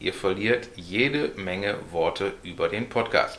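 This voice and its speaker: A man speaks with a Ruhr accent at a fairly slow pace. His pitch is fairly low, with ordinary variation. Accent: Ruhr German, clearly audible. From Ruhr area, Germany (Essen). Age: 40s. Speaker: podcast host. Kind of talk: casual chat.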